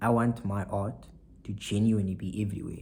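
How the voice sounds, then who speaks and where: This man's voice sits fairly low and sounds somewhat breathy. His intonation stays monotone and flat. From South Africa, Saldanha (Western Cape). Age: 20s. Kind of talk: casual vlog monologue.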